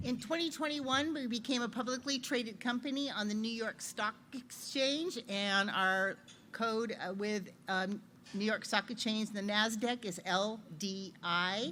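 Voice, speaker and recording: A woman speaks loudly at a fairly high pitch with a bright, sharp tone. Her pace is fairly slow, and her pitch varies in an ordinary way. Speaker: loan officer. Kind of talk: business presentation.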